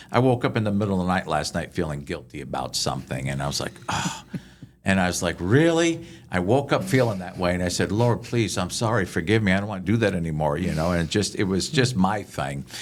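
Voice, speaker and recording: A very deep, low male voice with lively intonation, an animated tone and a very fast pace. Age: 60s. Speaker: chaplain and podcast host. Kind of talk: podcast interview, teaching points. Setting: podcast recording.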